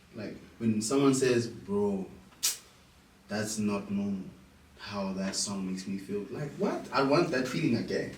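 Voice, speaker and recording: A man at a fairly slow pace with long, frequent pauses, audible room echo and noticeable background noise. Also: fairly low pitch for a man, ordinary pitch variation. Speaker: musician. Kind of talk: interview.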